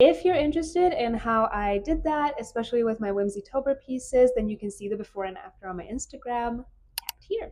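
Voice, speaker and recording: Her voice high in pitch yet dark and mellow in tone, a woman talks at a fairly quick pace with lively intonation, big swings in loudness and hardly any pauses. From Hungary. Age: 20s. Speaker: artist and small business YouTuber. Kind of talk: casual vlog chat. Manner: casual, with fillers.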